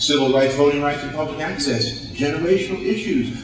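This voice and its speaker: A man's speech carries audible room echo along with noticeable background noise. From United States. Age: 60s. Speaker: motivational speaker. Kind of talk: motivational speech. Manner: animated.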